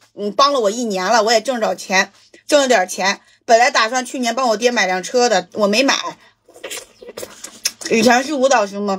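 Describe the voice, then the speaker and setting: A woman speaks fairly slowly over a quiet background, her pitch varying in an ordinary way. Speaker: mukbang streamer. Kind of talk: casual livestream chat while eating, answering viewer questions. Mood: relaxed, joking. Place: home room.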